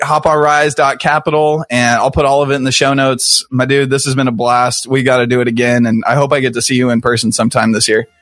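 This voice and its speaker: Very fast and with hardly any pauses, a man speaks in an American accent. His loudness stays very even. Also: medium pitch for a man. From Kansas City, US Midwest. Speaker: podcast host. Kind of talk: casual interview conversation. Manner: casual, jokey, animated.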